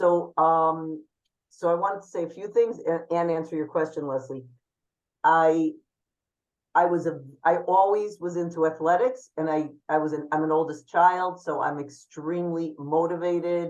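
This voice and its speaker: An unremarkable speaking voice talks at a moderate pace with fairly even intonation. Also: woman, fairly low pitch for a woman. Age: 60s. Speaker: photographer and runner. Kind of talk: panel talk at online networking event.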